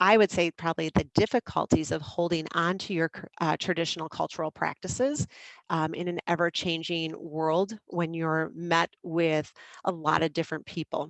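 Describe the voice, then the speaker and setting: A woman with an American accent at a fairly low pitch and moderate pace, in a dry, close sound with no echo over a quiet background. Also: fairly even intonation. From US Midwest, small town in Wisconsin. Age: 40s. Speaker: high school teacher. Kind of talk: online lesson. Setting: video stream with shared screen.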